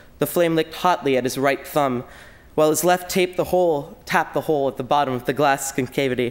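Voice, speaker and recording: A man with an American accent, fairly high pitch, ordinary pitch variation and a very fast pace. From New York City. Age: young. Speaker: student writer and musician. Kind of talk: reading aloud.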